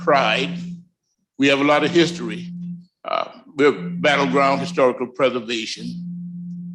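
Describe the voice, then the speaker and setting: With music in the background and audible room echo, a man with an American accent speaks fairly slowly at a fairly high pitch with lively intonation. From US South. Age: 60s. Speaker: community representative. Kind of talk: public comment at council meeting. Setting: city council chambers.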